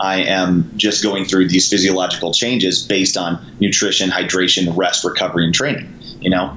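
Amid noticeable background noise and audible room echo, a man with a very deep, low pitch speaks with ordinary pitch variation and very even loudness. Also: moderate pace. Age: 30s. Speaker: SWAT police officer and CrossFit coach. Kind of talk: casual interview chat.

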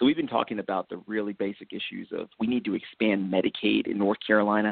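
The pace here is very fast. It is delivered with an American accent. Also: man. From upstate New York, near Binghamton. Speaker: political candidate. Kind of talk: interview.

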